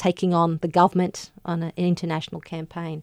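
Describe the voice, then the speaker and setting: A woman's fairly low voice in an Australian accent, monotone and flat at a moderate pace, with a dry, close sound, no echo, and a very clean recording against a silent background. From Queensland, Australia (Gympie). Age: 30s. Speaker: barrister and author. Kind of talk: radio interview. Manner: hesitant, many fillers.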